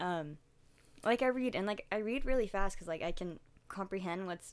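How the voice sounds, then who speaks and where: A woman speaks at a moderate pace in a medium pitch. Her intonation is lively. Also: very clean recording, silent background. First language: Russian. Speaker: podcast co-host. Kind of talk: casual chat.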